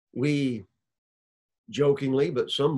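In a Southern US accent, a man speaks against a quiet background. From Alabama. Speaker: preacher, church elder; preacher. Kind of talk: sermon. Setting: recorded video. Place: office. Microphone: webcam.

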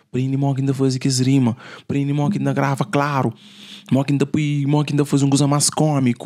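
A man talks at a fairly quick pace in a dark, mellow tone. His intonation is monotone and flat against a quiet background. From Cape Verde, São Filipe (Fogo); Cape Verde. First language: Cape Verdean Creole (speaking Portuguese). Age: young. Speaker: musician; podcast guest. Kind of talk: casual chat. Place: studio. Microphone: studio mic.

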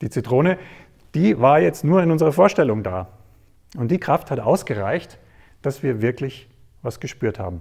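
Against a quiet background, a man speaks at a moderate pace with long, frequent pauses. His voice is somewhat breathy, with big swings in loudness. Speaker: presenter. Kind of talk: storytelling talk to an audience. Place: stage. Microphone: lapel.

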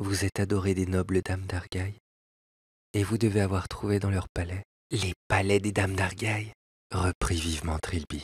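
On a very clean, dry, close recording with a silent background and no echo, a man speaks at a moderate pace in a very deep, low, somewhat breathy voice. His intonation is fairly even, and he leaves long, frequent pauses. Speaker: audiobook narrator. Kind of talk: scripted literary narration of a tale, read aloud with music.

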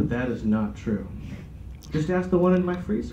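A man talks at a moderate pace with very wide swings in pitch over noticeable background noise. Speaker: comedian. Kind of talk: stand-up comedy set. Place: meeting room. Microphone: camera far.

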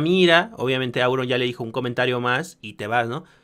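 A man talking at a very fast pace with ordinary pitch variation, against a quiet background. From Mexico. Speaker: streamer reaction commentator. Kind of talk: reaction commentary. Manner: animated. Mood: critical, exasperated. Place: home room. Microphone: studio mic.

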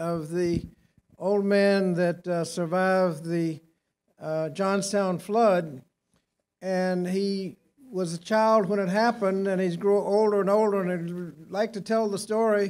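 Speaking at a fairly slow pace, a man uses a high pitch with fairly even intonation. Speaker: speaker. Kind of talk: speech with anecdote. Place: hall. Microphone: podium.

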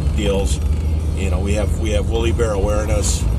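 The sound of this man's voice is dry with no echo, and music plays in the background. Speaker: vlogger. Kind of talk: casual vlog chat. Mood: joking, irreverent. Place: car. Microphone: phone near.

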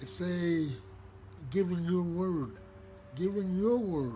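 With music in the background, a man speaks at a fairly slow pace. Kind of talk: spoken personal message. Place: garden. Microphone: phone near.

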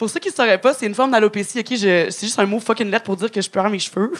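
Fairly high-pitched and lively in intonation, a woman talks at a very fast pace. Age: 30s. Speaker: stand-up comedian. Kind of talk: stand-up. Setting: stage with audience. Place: stage. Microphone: handheld.

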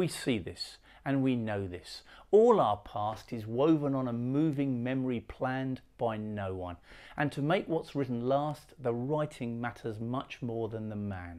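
A man speaks with a dark, mellow tone at a fairly slow pace. His pitch varies in an ordinary way, and the background is quiet. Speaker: poet. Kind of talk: poetry reading. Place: home room.

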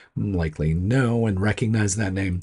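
A man speaks at fairly low pitch in a dark, mellow tone with a slightly husky edge, on a very clean recording with a silent background.

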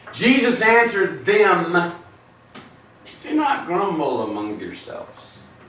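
Over noticeable background noise, a man with a high pitch talks at a very slow pace, his voice making very wide pitch swings, with long, frequent pauses. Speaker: pastor. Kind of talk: Bible study teaching. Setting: church.

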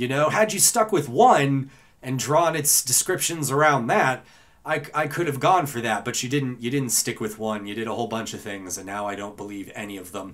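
A man's normal speaking voice at medium pitch, moderate pace and lively intonation. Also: big swings in loudness. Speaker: voice actor. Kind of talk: casual talk to camera.

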